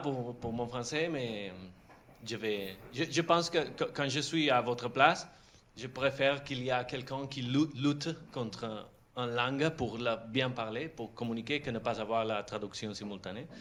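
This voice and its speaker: His pace is fairly slow. A man speaks at medium pitch with ordinary pitch variation. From Catalonia. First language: Catalan or Spanish (speaking French). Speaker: film director. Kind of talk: masterclass talk. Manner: halting.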